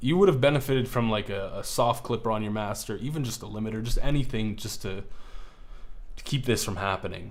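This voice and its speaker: A man's medium-pitched, animated voice at a very fast pace, with ordinary pitch variation and audible room echo. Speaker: music producer streamer reviewing beats. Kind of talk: live stream beat review. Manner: stutters at times; casual, animated.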